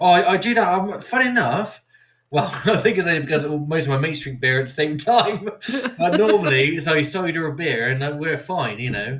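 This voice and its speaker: Spoken with a West Country accent, fairly quickly and with lively intonation. There is audible room echo. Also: man, fairly high pitch for a man. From Somerset, South West England. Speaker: podcast host. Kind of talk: casual chat.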